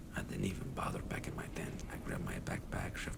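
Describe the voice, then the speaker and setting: The whispering moves at a moderate pace, with noticeable noise in the background. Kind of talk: horror story narration. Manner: soft-spoken.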